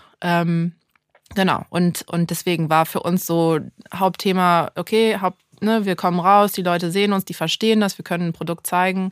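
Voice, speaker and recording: A woman's fairly low-pitched, monotone voice at a moderate pace, dry and close with no echo, on a very clean recording with a silent background. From Düsseldorf, Germany and Santa Barbara, California. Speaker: start-up founder. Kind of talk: interview.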